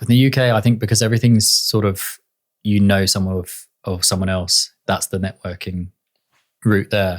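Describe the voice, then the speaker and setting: In a British accent, a man with a fairly low pitch talks at a moderate pace in a monotone, flat intonation, on a very clean recording with a silent background and a dry, close sound with no echo. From England. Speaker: director and photographer. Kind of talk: podcast interview.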